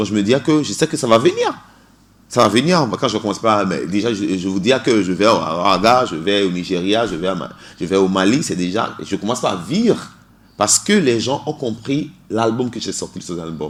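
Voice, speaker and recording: With lively intonation and a moderate pace, a man speaks at a fairly low pitch. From Togo. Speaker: singer. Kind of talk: radio interview. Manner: halting, many repetitions.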